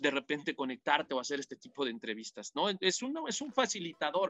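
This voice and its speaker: Using a high pitch, a man speaks at a fairly quick pace. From Mexico, Toluca. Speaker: football commentator. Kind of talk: interview. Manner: halting, frequent repetitions.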